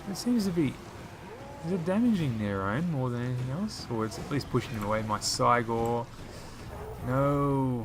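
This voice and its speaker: With music in the background, the speaker uses ordinary pitch variation in an Australian accent. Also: man. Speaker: gaming YouTuber. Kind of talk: live gameplay commentary. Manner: fast; animated.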